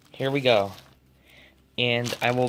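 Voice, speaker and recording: Noticeable background noise sits behind a man's voice. He talks at medium pitch and a very slow pace. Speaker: tech unboxing youtuber. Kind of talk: unboxing tutorial. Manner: casual, hesitant.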